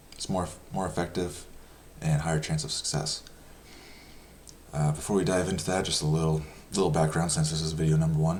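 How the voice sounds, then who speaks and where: Soft-spoken, a man with a very deep, low pitch talks at a fairly quick pace with fairly even intonation, leaving long, frequent pauses. Audible room echo surrounds his voice. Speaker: personal finance youtuber. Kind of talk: casual explainer talk. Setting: home. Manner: halting with many fillers.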